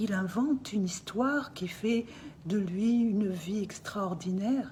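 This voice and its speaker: Lively intonation marks this woman's speech. Her pitch falls in the medium range. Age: 60s. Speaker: artist speaking out about family dispute. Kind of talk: personal testimony. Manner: emotional, insistent.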